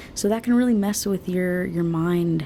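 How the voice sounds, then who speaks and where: A woman whispers at a moderate pace. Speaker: beauty vlogger. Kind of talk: casual chat. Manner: whispering; soft-spoken.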